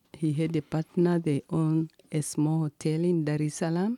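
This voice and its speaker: A woman with a Tanzanian accent, fairly low pitch and a dark, mellow tone, at a moderate pace, in a very clean, dry, close recording with no echo and a silent background. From Tanzania, Kilimanjaro. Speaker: district commissioner and ministry founder. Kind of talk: interview.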